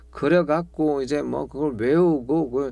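A man speaks at a moderate pace in a dark, mellow tone. The background is quiet and the sound is dry with no echo. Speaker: guitar teacher. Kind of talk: tutorial. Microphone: lapel.

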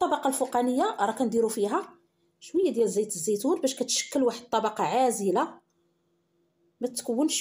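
A woman's high, dark, mellow voice at a moderate pace, with very wide pitch swings and very even loudness. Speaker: cooking channel host. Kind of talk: cooking tutorial.

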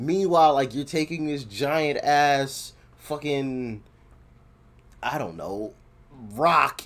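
The man talks very slowly, and his pitch shifts in an ordinary way. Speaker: reaction video creator. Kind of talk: casual reaction commentary. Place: home room. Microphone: earbuds.

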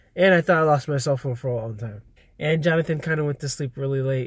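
A man with a medium pitch and a somewhat breathy voice speaks on a very clean recording against a silent background. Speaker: vlogger. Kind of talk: casual vlog talk to camera. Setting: in a car.

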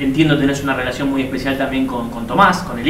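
Speech at a very fast pace carries audible room echo and light background noise. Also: man. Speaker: sports journalist, co-host. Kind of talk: casual interview. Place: studio.

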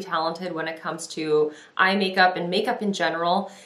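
A woman talks at a moderate pace in a monotone, flat intonation, with audible room echo around her. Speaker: beauty vlogger. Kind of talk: casual vlog chat. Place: home room.

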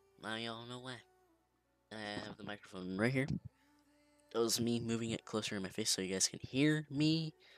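A man speaks quietly at a fairly quick pace and a medium pitch, with ordinary pitch variation, big swings in loudness and long, frequent pauses, as music plays in the background. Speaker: gaming video creator. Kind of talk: gameplay commentary. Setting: home recording late at night. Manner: quiet, held down so others can sleep.

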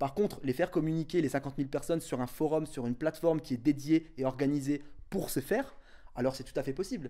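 A man speaks at a fairly quick pace with fairly even intonation. His tone is dark and mellow over a quiet background. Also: fairly high pitch for a man. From northern France, Tourcoing; northern France. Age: 20s. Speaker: association founder; interviewee. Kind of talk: interview; interview answer. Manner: halting. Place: home room. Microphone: handheld.

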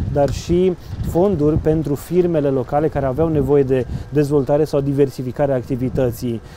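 Noticeable background noise sits under a dry recording with no echo. A man talks at a fairly quick pace and fairly high pitch, with ordinary pitch variation. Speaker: local news interviewer. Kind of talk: interview. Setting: outdoors by a riverside promenade under construction. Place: boat. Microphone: lapel.

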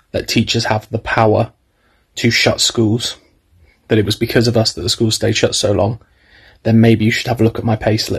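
In a quiet background, a man speaks with monotone, flat intonation in a somewhat breathy voice. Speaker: drama teacher. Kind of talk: casual vlog chat. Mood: frustrated, earnest. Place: home room. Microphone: phone near.

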